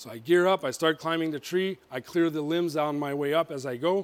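Fairly high in pitch, a man talks at a fairly quick pace. His pitch variation is ordinary. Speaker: motivational speaker. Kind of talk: motivational talk. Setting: stage with audience.

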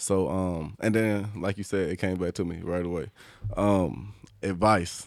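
A man with an American accent speaks at a very deep, low pitch and a fairly slow pace. His intonation is fairly even, and the very clean recording has a silent background. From US South, Leeds, Alabama. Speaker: professional football player. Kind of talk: casual chat.

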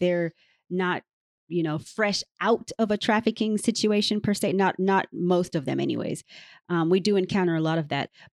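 Speaking in a plain, everyday voice with an American accent, a woman keeps a moderate pace, medium pitch and ordinary pitch variation, in a dry, close sound with no echo. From Canada, raised in the US. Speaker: trafficking survivor and advocate. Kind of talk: interview with reading aloud. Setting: remote call.

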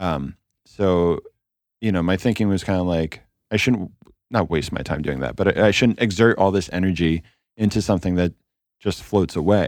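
At a moderate pace, a man with a very deep, low voice shows big swings in loudness and ordinary pitch variation. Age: 40s. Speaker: record label founder and musician. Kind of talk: casual interview chat.

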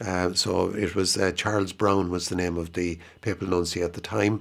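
With an Irish accent, a man speaks at a very deep, low pitch. His moderate-paced delivery has monotone, flat intonation. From Ireland, County Offaly. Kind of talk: radio interview. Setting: radio studio.

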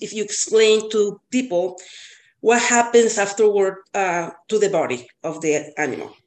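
A woman speaks with a Spanish accent at a fairly high pitch. Her pace is moderate and her intonation lively. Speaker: cat boarder and co-host, student. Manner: self-conscious about accent, slightly hesitant.

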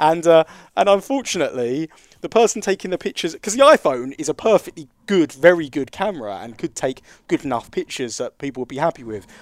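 A man with an English accent speaks at a very fast pace in a fairly high pitch, his pitch swinging very widely and his loudness rising and falling sharply, on a very clean recording with a silent background. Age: 30s. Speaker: podcast host. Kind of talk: casual chat.

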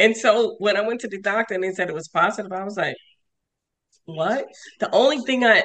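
With a New York accent, a woman speaks at a fairly quick pace and ordinary pitch variation. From New York, Westchester. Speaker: sarcoidosis patient and advocate. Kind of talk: interview.

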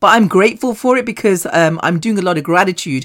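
A woman's raspy, put-on character voice at medium pitch, lively in intonation and fairly quick in pace.

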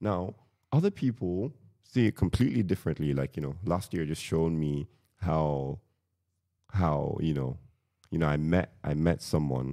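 His pitch very deep and low, a man talks at a moderate pace in a dark, mellow tone with lively intonation. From Nigeria. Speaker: engineer. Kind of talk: casual chat.

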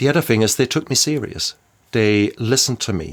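In a very clean recording with a silent background, a man with a German accent speaks at a fairly quick pace with ordinary pitch variation. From Germany. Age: 50s. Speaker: doctor in recovery from alcoholism. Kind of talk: personal recovery testimony in interview. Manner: halting, repeats words.

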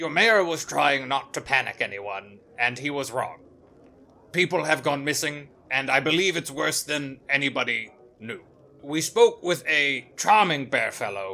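Using a put-on character voice, a man talks at a fairly high pitch. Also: moderate pace. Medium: actual play. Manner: formal, polite.

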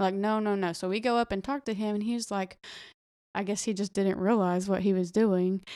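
Speaking fairly quickly with a Southern US accent, a woman keeps a medium pitch and a monotone, flat intonation, recorded with a dry, close sound with no echo, very clean with a silent background. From Arkansas. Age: 20s. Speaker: teacher and former college softball player. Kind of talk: casual chat.

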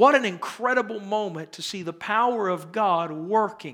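A man's raised, projected voice, high in pitch with ordinary variation, bright and sharp in tone, at a moderate pace, on a very clean recording with a silent background. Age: 30s. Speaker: pastor. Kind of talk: sermon.

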